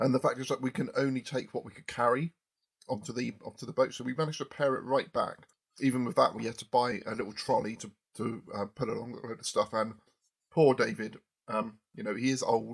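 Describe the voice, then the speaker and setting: A man speaks at a fairly quick pace with a southern English accent. His pitch sits in the medium range with ordinary variation, while his loudness swings widely. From southern England, Poole, Dorset. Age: 40s. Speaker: podcast host. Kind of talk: casual chat.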